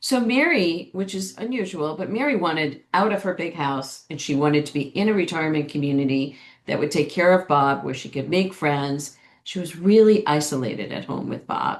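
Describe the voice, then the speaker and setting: A woman talks at a moderate pace in an ordinary speaking voice. Her pitch is fairly low and her intonation is lively. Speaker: care manager, company founder. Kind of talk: webinar presentation.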